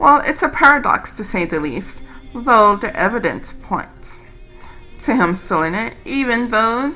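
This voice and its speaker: Over music in the background, a woman speaks fairly slowly in a fairly high pitch with very wide pitch swings. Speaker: video game let's player. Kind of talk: reading game dialogue aloud. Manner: stumbles over words when reading.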